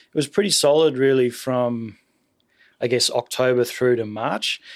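On a very clean recording with a silent background, a man with an Australian accent speaks at a medium pitch and a moderate pace, with ordinary pitch variation. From Sydney, Australia. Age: 30s. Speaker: jazz drummer. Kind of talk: casual interview chat.

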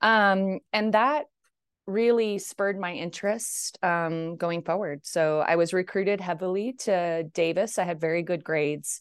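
An ordinary speaking voice with an American accent, fairly slow pace and ordinary pitch variation against a quiet background. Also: woman, medium pitch for a woman. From far northern California, rural mountain country. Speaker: agricultural sustainability scientist, university research director. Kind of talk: interview.

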